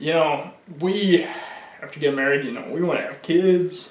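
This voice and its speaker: Amid noticeable background noise and audible room echo, a man speaks at a fairly quick pace with a fairly high pitch. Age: 20s. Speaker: person living with ALS. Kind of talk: documentary interview. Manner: casual.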